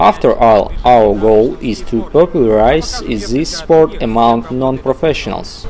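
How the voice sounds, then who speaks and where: A man with a Russian accent at a very slow pace, lively in intonation, with music playing in the background. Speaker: skateboarding youtuber. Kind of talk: tutorial.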